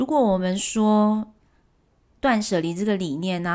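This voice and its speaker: A woman with a medium-pitched voice speaks at a very slow pace in a relaxed tone, her intonation lively, on a very clean recording with a silent background. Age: 30s. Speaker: podcast host. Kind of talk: casual monologue.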